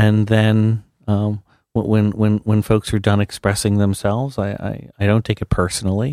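A man with an American accent, fairly low pitch and a dark, mellow tone, monotone with flat intonation at a moderate pace, in a very clean recording with a silent background and a dry, close sound with no echo. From South Jersey, US. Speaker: university president. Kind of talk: radio interview.

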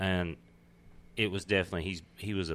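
A man speaks fairly quickly with a Texas accent. His pitch is very deep and low, with vocal fry. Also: very clean recording, silent background. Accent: Southern US, Texas. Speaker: comedian. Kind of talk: casual chat.

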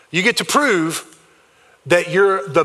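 A man with a South Carolina accent speaks at a high pitch. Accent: Southern US (South Carolina). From US South, South Carolina. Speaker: pastor. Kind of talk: sermon. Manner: fast; loud.

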